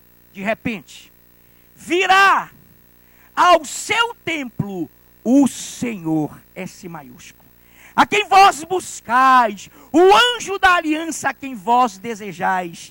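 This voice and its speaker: A man speaks in a raised, projected voice with an extremely high pitch, a bright, sharp tone and very wide pitch swings. His delivery is very slow, with long, frequent pauses and big swings in loudness. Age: 60s. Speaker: pastor. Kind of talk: sermon. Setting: church.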